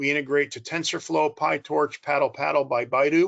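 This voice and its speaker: A man with a normal speaking voice and an American accent, fairly high in pitch with fairly even intonation, in a dry, close sound with no echo. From United States. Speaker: corporate strategy executive. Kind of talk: conference presentation.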